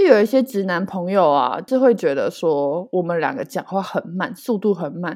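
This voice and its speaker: A woman's plain, everyday voice at medium pitch, with lively intonation, a moderate pace and hardly any pauses against a quiet background. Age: 20s. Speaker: podcast co-host. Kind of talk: casual chat.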